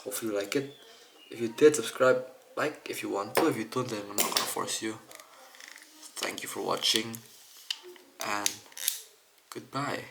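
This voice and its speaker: Amid noticeable background noise, a soft-spoken man at a medium pitch talks at a moderate pace with fairly even intonation and long, frequent pauses. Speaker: camera lens repair hobbyist. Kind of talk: tutorial.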